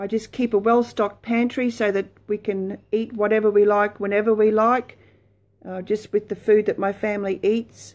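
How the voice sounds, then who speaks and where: In an Australian accent, a woman speaks at a moderate pace in a fairly high voice, her intonation monotone and flat. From Australia, Brisbane. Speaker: lifestyle blogger. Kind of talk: casual chat; casual vlog chat. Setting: live video stream from home. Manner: hesitant, many fillers. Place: home room. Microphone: phone near.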